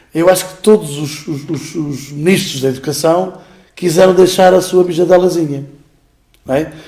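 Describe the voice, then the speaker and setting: In a room with audible echo, a man with a high voice talks at a moderate pace, his intonation fairly even and his loudness swinging widely. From Portugal, Beira Alta. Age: 50s. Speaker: school director and teacher. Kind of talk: interview. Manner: hesitant, many fillers.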